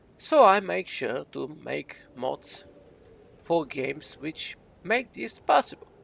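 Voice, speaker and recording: This man talks at a very slow pace. He has a non-native accent. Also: big swings in loudness. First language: not English. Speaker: gaming YouTuber and game modder. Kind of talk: casual talk over gameplay.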